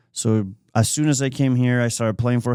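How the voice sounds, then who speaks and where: Recorded very cleanly against a silent background, with an Argentine accent. The tone is dark and mellow, and the pace is fairly quick. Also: man. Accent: Argentinian Spanish accent, lasting. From Argentina. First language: Spanish. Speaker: accountant. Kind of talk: podcast interview.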